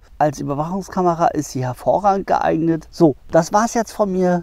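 Here a man talks at a moderate pace with lively intonation. The sound is dry with no echo, over a quiet background. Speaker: wildlife camera reviewer. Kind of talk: product review vlog. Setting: outdoors in the woods. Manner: casual, with slips and restarts. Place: forest. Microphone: lapel.

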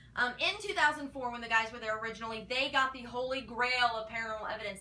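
A woman is talking. Her pace is very fast. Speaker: paranormal show fan vlogger. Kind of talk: casual vlog commentary. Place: home room. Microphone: camera far.

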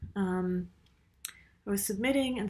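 There is a somewhat breathy quality to this woman's voice. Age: 30s. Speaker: writer and university teacher; university teacher. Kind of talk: casual vlog monologue. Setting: university office. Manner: hesitant, many fillers. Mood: reflective, personal. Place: home room. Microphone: webcam.

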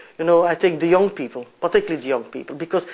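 This woman speaks with a very deep, low pitch. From Belgium. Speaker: environmental policy director. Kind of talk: interview; interview answer. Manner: frequent fillers and repetitions. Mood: earnest, hopeful. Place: hall.

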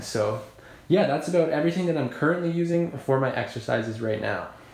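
Audible room echo around a man's voice. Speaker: home fitness vlogger. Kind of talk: casual vlog chat. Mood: upbeat, relaxed. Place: home room. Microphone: phone near.

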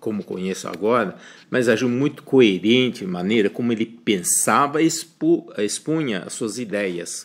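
A man speaks with a Chinese accent. His voice is fairly low, with ordinary pitch variation. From China. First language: Chinese (speaking Portuguese). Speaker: professor. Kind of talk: recorded self-introduction. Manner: halting.

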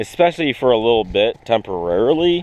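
A man speaks at a fairly low pitch. The sound is dry, with no echo. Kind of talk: tutorial. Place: open country. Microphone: phone near.

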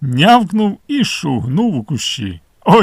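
The speaker uses a natural reading voice. That voice carries the clip.

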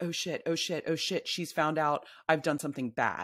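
An animated woman's voice, very deep and low-pitched, at a moderate pace over a quiet background. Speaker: novelist and memoirist; guest. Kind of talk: casual interview conversation. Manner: animated, laughs often. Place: home room. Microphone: studio mic.

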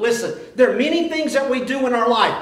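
Strong room echo surrounds a man's voice. It is extremely high in pitch with a fairly bright tone.

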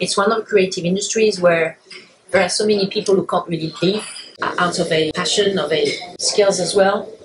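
Noticeable background noise runs under a woman talking at a fairly quick pace. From France. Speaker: lawyer and podcast host. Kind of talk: interview conversation. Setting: in-person interview at a London club. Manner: hesitant with many fillers.

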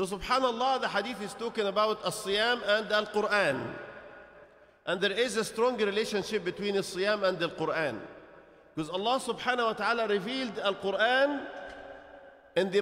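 A man talks in a high voice at a moderate pace with ordinary pitch variation. Long, frequent pauses break his speech over a quiet background. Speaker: speaker. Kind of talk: sermon. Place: church. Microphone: studio mic.

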